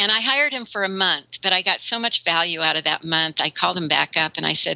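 A woman with a fairly low pitch talks at a fairly quick pace with lively intonation, and there is noticeable background noise. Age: 60s. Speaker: web content writer and consultant. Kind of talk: interview.

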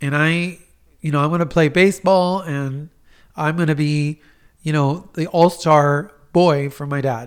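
In a very clean recording with a silent background, a man with a plain, everyday voice and fairly high pitch speaks at a fairly slow pace with fairly even intonation. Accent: American. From Miami, US. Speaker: clinical psychologist. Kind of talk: advice on a talk podcast.

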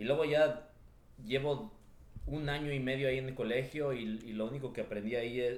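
The speech has long, frequent pauses, and room echo is audible. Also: man. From Los Angeles (Echo Park), Mexican parents. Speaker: real estate entrepreneur. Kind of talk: interview. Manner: halting, with frequent word repetitions.

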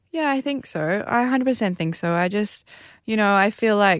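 This speaker has an Australian accent and ordinary pitch variation. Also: woman. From rural Queensland, Australia. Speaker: Olympic beach volleyball player. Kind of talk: interview.

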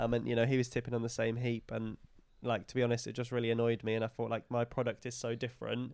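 Speaking at a very fast pace, a man with an East of England accent keeps a monotone, flat intonation. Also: medium pitch for a man, very clean recording, silent background. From England, Lincolnshire/Cambridgeshire border. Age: 20s. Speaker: regenerative farmer. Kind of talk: interview. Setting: on the farm, in person.

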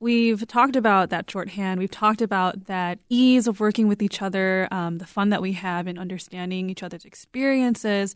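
In a very clean recording with a silent background, a woman with a normal speaking voice talks at a medium pitch, her intonation fairly even and her speech with hardly any pauses. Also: moderate pace. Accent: American. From US, Korean American. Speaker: podcast producer. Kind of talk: interview.

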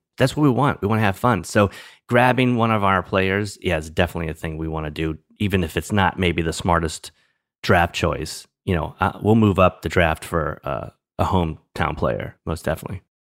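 Speaking with an American accent at a fairly quick pace, this voice shows ordinary pitch variation over a very clean recording with a silent background. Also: man, very deep, low pitch for a man. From New Orleans, US South. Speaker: former TV stand-in and actor, fantasy league commissioner. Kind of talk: casual interview chat. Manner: halting, with repeated words.

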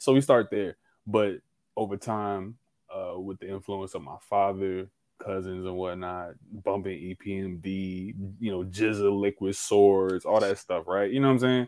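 On a very clean recording with a silent background, a man with an ordinary speaking voice, fairly low in pitch, talks at a moderate pace with fairly even intonation and big swings in loudness. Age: 20s. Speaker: podcast guest. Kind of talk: casual chat.

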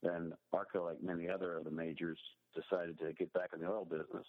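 Speaking with an American accent, a man has a very deep, low pitch. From Pittsburgh, Pennsylvania. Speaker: water sector investor. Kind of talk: interview.

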